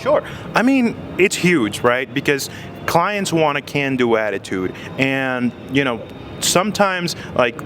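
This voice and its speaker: In an enthusiastic tone, a man speaks at a fairly slow pace and fairly high pitch with very wide pitch swings, very even loudness and long, frequent pauses, against noticeable background noise. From abroad, moved to US at seven. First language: not English. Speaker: technical consultant. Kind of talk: interview. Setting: conference event. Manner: halting, many fillers.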